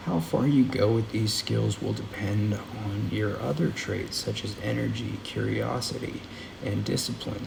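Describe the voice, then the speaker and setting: A soft-spoken man talks at a fairly slow pace. There is audible room echo and noticeable background noise. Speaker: audiobook reader. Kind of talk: reading aloud.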